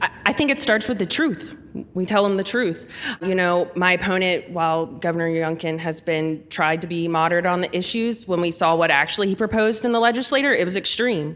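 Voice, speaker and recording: An unremarkable speaking voice from a woman with an American accent, medium pitch, lively intonation and a fairly quick pace. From rural Southwest Virginia. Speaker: political candidate. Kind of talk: live panel interview. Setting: stage with audience.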